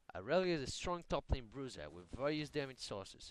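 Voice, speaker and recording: A man of medium pitch with a non-native accent, at a fairly quick pace. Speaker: gamer. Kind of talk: game tutorial narration.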